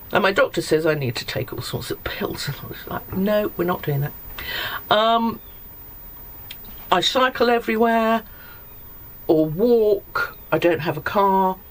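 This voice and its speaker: Amid noticeable background noise, a woman with a medium pitch and lively intonation speaks at a fairly slow pace, with long, frequent pauses. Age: old. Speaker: retired single narrowboater. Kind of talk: interview answer.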